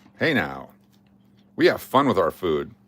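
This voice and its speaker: A man speaks at a moderate pace in an animated tone, with vocal fry and very wide pitch swings. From Alaska (Fairbanks). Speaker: YouTube live streamer, coin and card giveaway host. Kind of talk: casual live stream chat.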